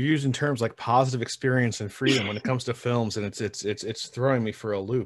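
A man talks at a very fast pace with hardly any pauses. His pitch is medium, his intonation fairly even, and the background is quiet. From central New York. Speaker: podcast host and film editor. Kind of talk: casual chat. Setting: video call. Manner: stutters.

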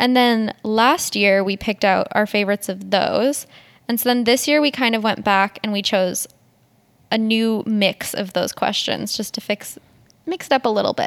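Moderate pace, Western Canadian accent, and a dry, close sound with no echo. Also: woman, fairly high pitch for a woman, ordinary pitch variation. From Edmonton, Alberta, Canada. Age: 20s. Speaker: podcast co-host and photography student. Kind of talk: casual chat.

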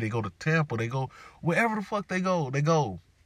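A somewhat breathy voice rushes along at a very fast pace in a very clean recording with a silent background. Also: man. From US South, Jacksonville, Florida. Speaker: podcast host. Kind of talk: solo monologue podcast. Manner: animated.

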